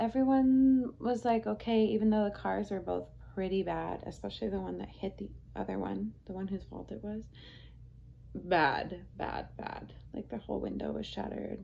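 A woman talks at a moderate pace while light background noise runs underneath. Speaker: vlogger. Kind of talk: casual vlog chat. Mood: relaxed retelling of stressful event. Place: home room.

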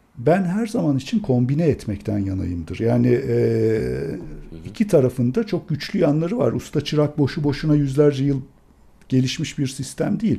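The voice has a dark, mellow tone and is somewhat breathy. Its pitch swings very widely. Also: man, fairly high pitch for a man, moderate pace. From Turkey. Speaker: classical guitarist and music professor; music professor. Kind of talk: casual interview. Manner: animated. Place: home room. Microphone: studio mic.

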